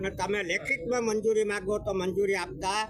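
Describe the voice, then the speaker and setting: High-pitched man's voice with fairly even intonation amid noticeable background noise. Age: 70s. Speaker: village resident raising a land grievance. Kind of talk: news interview statement.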